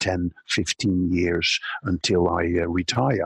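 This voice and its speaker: A man's somewhat breathy voice comes through with a dry, close sound and no echo. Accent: Dutch. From Netherlands. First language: Dutch. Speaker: social media consultant. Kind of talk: interview.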